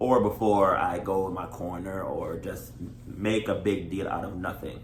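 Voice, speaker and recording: A man talks at a moderate pace with a fairly low pitch. Some room echo can be heard. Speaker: married vlogger. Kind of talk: casual chat. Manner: loud.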